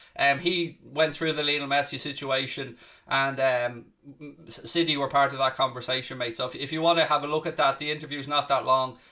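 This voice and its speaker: The speech runs at a very fast pace with monotone, flat intonation. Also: man. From Ireland, south Dublin. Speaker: football content creator. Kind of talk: live watchalong commentary and chat. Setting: live stream. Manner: casual, conversational.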